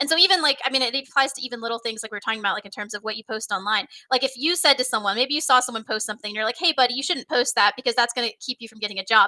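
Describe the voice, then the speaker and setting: In an American accent, a woman speaks very fast with hardly any pauses, her high-pitched voice animated in tone, with ordinary pitch variation and big swings in loudness, sounding dry and close with no echo over noticeable background noise. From Texas. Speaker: software trainer, company founder. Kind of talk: casual interview on live stream. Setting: live stream.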